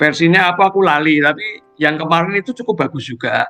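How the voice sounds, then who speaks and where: A man speaks in a Semarang accent with ordinary pitch variation. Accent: Javanese (Semarang). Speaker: lay preacher sharing testimony. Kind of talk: Bible sharing in online fellowship. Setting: Zoom video call. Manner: casual, hesitant with fillers.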